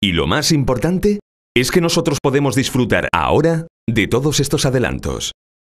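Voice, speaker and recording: A man's fairly quick speech with vocal fry and very wide pitch swings, against a quiet background. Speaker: professional voice-over announcer. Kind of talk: corporate narration. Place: studio.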